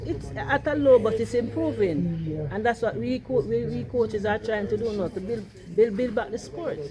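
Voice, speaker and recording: With noticeable noise behind her, a woman speaks in very wide pitch swings. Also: medium pitch for a woman, moderate pace. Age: 60s. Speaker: coach and umpire. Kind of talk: interview. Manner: halting, repeats words.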